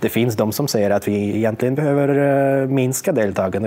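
Fairly quick male speech with ordinary pitch variation against noticeable background noise. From Russia. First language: Russian (speaking Swedish). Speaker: media researcher. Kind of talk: interview. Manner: halting, many fillers.

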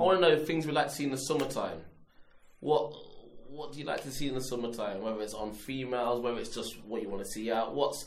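A man speaks very fast with a London accent at medium pitch. His pitch variation is ordinary and there is audible room echo. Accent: London multicultural English. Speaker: podcast host. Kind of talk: casual chat.

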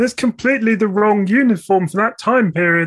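Someone uses a put-on character voice at a fairly high pitch and a fairly quick pace. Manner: whingy, pedantic, complaining.

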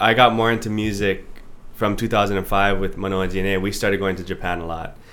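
A man with a normal speaking voice. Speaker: singer-songwriter. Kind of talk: casual chat.

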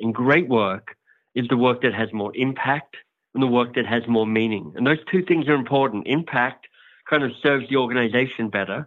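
A man speaks at a moderate pace with an Australian accent. His pitch is medium, with ordinary variation. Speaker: author and coaching company founder. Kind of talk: interview.

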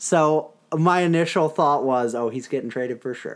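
An unremarkable speaking voice at a moderate pace with ordinary pitch variation, in a very clean recording with a silent background. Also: man. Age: 20s. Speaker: hockey podcast host. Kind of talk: casual chat. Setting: home recording.

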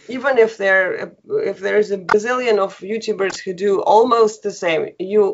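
Speaking at a moderate pace with a Russian accent, a woman uses a medium pitch. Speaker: online language teacher. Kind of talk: interview. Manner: laughs often.

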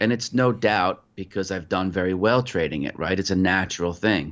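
A man with an American accent and a plain, everyday voice speaks at a moderate pace and fairly low pitch, with ordinary pitch variation. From New York (Putnam County). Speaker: futures trader. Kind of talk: interview.

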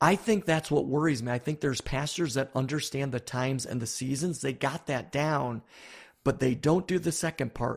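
On a very clean recording with a silent background, a man with an American accent speaks at a moderate pace and fairly high pitch, with ordinary pitch variation, in an unremarkable speaking voice. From US Northeast, Buffalo, New York. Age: 50s. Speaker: pastor and author. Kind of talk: interview.

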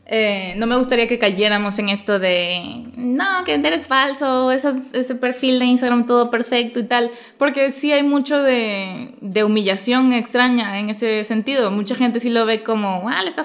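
With hardly any pauses, a woman talks in a high voice with lively intonation. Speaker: podcast host and writer. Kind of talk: casual chat. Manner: fast; sometimes loud.

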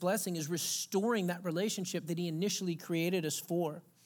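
This very clean recording with a silent background has a man with a Texas accent speaking fairly quickly at a high pitch, his intonation fairly even. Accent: Southern US (Texas). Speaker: pastor. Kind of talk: sermon.

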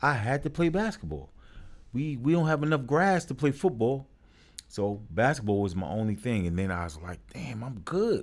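The voice carries a New York accent at a moderate pace. Its pitch swings very widely. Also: man, medium pitch for a man. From New York, Brooklyn. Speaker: youth sports coach and program founder. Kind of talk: casual interview.

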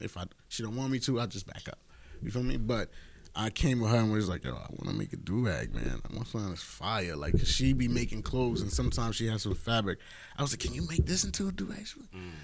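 A man with a New York accent and a fairly low pitch talks at a very fast pace, his pitch swinging very widely. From Queens, New York. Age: 30s. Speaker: comedian and social media entertainer. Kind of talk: casual chat.

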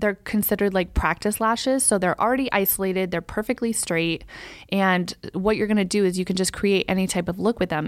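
A woman talks at a fairly quick pace in an ordinary speaking voice, her pitch medium with ordinary variation. The recording is very clean, with a silent background. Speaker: podcast co-host, lash business owner. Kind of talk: casual chat. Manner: playful, teasing.

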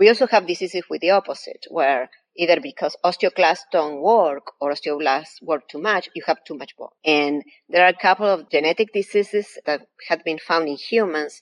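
With an Argentine accent, a woman speaks at a moderate pace and a fairly low pitch, showing ordinary pitch variation and big swings in loudness. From Argentina. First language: Spanish. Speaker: professor. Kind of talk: interview.

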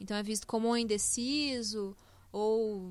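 A plain, everyday voice with fairly even intonation. The recording is very clean, with a silent background. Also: woman. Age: 20s. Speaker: software developer. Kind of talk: casual chat. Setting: studio.

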